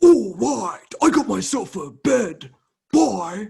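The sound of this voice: Using a put-on character voice, a man speaks at a very slow pace in a high pitch.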